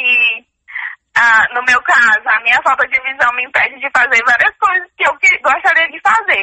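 A woman's raised, projected voice comes at a moderate pace and a high pitch. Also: dry, close sound with no echo. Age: 20s. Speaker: student. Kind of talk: interview.

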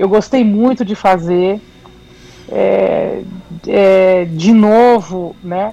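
Intonation stays fairly even. Noticeable background noise runs under the voice. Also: woman. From São Paulo city, Brazil. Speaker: MPB singer-songwriter. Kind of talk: radio interview.

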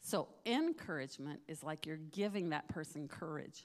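Her pitch is very deep and low, with ordinary variation. The woman keeps a moderate pace. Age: 60s. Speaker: missionary. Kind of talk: testimony. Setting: church.

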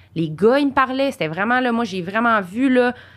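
Lively in intonation, a woman talks at a very fast pace. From Quebec, Saint-Jean-sur-Richelieu. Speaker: podcast co-host. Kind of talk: casual chat.

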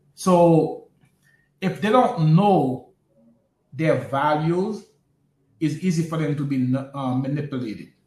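With an American accent, a man speaks at a fairly high pitch, somewhat breathy, with ordinary pitch variation. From US Northeast, Brooklyn, New York. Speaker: podcast co-host. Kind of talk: casual political discussion.

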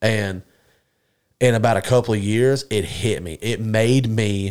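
An ordinary speaking voice with an American accent and fairly even intonation comes through on a very clean recording with a silent background. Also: man. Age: 20s. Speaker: podcast host. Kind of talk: casual chat.

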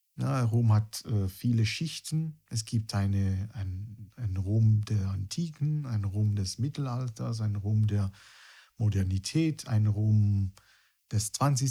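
A man with a fairly low pitch and a dark, mellow, somewhat breathy tone speaks very slowly with ordinary pitch variation on a very clean recording with a silent background. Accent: Italian. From Italy, near Rome. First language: Italian (speaking German). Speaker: guitarist and music teacher. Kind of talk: casual interview chat.

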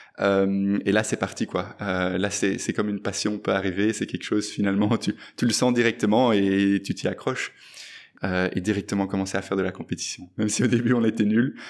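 A man at a fairly low pitch and fairly quick pace, with monotone, flat intonation, on a very clean recording with a silent background. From Belgium, Brussels. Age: 20s. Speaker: fintech entrepreneur. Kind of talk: interview. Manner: halting, many fillers.

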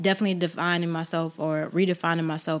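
A woman with an American accent talks at a fairly quick pace in a normal speaking voice, her fairly low pitch carried on fairly even intonation. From US South, Georgia. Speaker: photographer. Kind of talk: casual chat.

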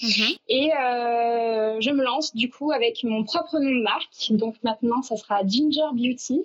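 Speaking very slowly, a woman uses a high voice with ordinary pitch variation. Her loudness stays very even. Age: 20s. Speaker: beautician. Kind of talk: casual interview.

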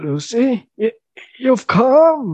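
A man's put-on character voice, shaky and extremely high-pitched, with very wide pitch swings. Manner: emotional, awed.

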